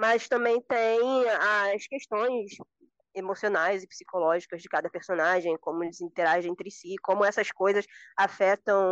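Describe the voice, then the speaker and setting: At a fairly slow pace, a woman speaks in an unremarkable speaking voice with ordinary pitch variation. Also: dry, close sound with no echo. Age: 20s. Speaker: podcast guest, fantasy book fan. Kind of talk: casual chat.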